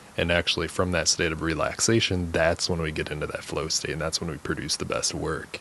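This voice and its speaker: Very deep, low male voice in a flat monotone, fairly quick with hardly any pauses, against noticeable background noise. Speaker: podcast host and counselor. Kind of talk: casual interview chat. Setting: recording studio.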